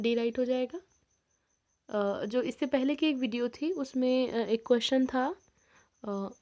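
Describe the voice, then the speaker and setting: In a very clean recording with a silent background, a woman speaks very slowly with a high pitch, a dark, mellow tone and ordinary pitch variation. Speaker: sociology exam-prep teacher. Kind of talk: tutorial.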